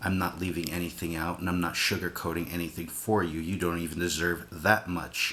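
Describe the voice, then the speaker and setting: A man speaks quietly at a fairly quick pace, with hardly any pauses. His very deep, low voice keeps a monotone, flat intonation. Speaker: vlogger. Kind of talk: casual vlog rant. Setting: home at night. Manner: kept quiet, subdued.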